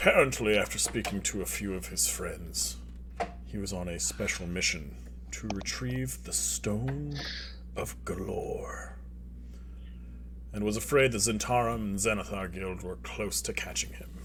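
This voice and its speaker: Putting on a character voice, a man speaks at a moderate pace over clear background noise. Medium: actual play. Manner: formal, measured.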